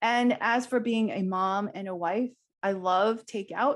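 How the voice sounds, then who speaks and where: The background stays quiet. A woman talks at a medium pitch, her pitch varying in an ordinary way. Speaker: leadership summit speaker. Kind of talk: motivational talk. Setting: virtual summit. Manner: loud.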